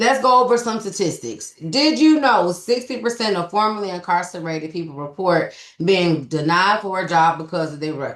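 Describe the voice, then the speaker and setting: A woman speaks with a Southern US accent at a medium pitch. Her pitch swings very widely. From US South. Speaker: business developer and trucking recruiter. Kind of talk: webinar presentation. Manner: fast.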